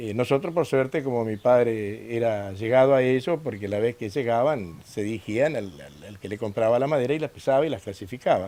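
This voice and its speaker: A man speaks with a dark, mellow tone at a medium pitch, with ordinary pitch variation and big swings in loudness. He hardly pauses at all. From northern Santa Fe, Argentina. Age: 60s. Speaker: former company worker, interviewee. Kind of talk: documentary interview. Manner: hesitant, many fillers.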